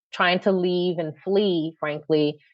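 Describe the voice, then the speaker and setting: A woman speaks very slowly with a Philadelphia accent, her intonation flat and monotone. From Philadelphia, North Philly. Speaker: nonprofit CEO. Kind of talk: podcast interview. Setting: podcast.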